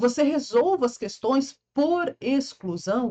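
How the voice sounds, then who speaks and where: A woman with a dark, mellow tone speaks at a fairly slow pace. Her pitch makes very wide swings. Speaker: law teacher for public exams. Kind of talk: lecture. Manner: animated.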